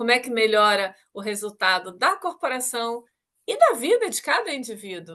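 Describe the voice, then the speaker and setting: Speaking in a Rio de Janeiro accent, a woman has a fairly high pitch, a bright, sharp tone, lively intonation and a moderate pace. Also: big swings in loudness. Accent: carioca. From Rio de Janeiro, Brazil. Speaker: talk show host, technology executive. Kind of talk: interview. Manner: formal.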